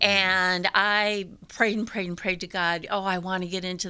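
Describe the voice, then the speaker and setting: Bright and sharp in tone, a woman with a medium pitch speaks at a moderate pace in a flat monotone, recorded very cleanly against a silent background. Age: 60s. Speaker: church member giving testimony. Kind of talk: testimony. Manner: halting.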